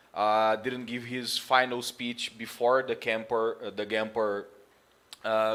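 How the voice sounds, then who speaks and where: Loud and monotone, a man with a Portuguese accent speaks at a fairly slow pace and a medium pitch. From Brazil. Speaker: football commentator streamer. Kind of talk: live stream monologue. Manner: halting.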